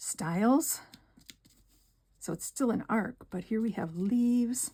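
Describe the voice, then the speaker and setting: A fairly high-pitched woman with an American accent, speaking very slowly in a dark, mellow tone. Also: ordinary pitch variation. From northern Wisconsin. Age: 60s. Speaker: card-making crafter. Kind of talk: craft tutorial. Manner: soft-spoken; casual, with fillers.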